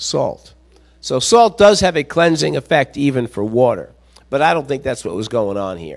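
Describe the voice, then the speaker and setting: At a moderate pace, a man with a fairly high pitch speaks with very wide pitch swings. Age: 60s. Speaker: visiting preacher and pastor coach. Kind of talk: sermon. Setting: church with congregation. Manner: halting, many fillers.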